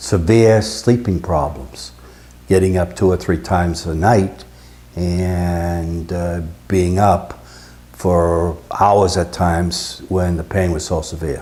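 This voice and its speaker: Very slow, a man speaks with a very deep, low pitch and ordinary pitch variation. His tone is dark and mellow. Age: 70s. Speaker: retired electrical engineer, patient. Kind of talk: testimony. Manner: halting, frequent uh fillers.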